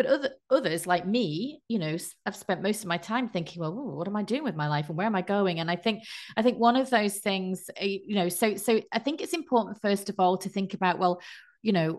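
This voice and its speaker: A woman's normal speaking voice, medium in pitch, with ordinary pitch variation and a fairly quick pace, against a quiet background. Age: 50s. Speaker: life coach and meditation teacher. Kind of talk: casual interview.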